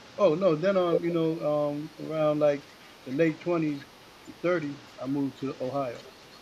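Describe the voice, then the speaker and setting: Amid noticeable background noise, a man speaks at a moderate pace in a fairly high voice with fairly even intonation. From New York City (Queens). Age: 60s. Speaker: hip hop MC. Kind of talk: interview. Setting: radio show.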